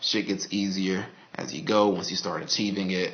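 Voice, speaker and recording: A man with a Texan accent speaks in a very deep, low pitch. Audible room echo and noticeable background noise are present. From Texas, Dallas. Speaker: vlogger, network engineer. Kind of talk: casual video diary monologue. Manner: casual, halting with fillers.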